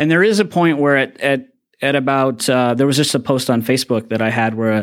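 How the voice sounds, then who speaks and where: Recorded very cleanly against a silent background, a man talks with an American accent. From upstate New York (Watertown area). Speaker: magician and mind reader. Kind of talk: interview conversation; guided visualization in a mind-reading demonstration.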